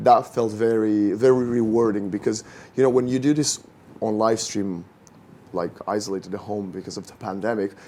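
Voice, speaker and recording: A man with a non-native accent speaks in a fairly low, dark, mellow voice. His intonation stays fairly even while his loudness swings widely. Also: moderate pace. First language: not English. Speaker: esports caster and host, actor. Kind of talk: casual podcast chat.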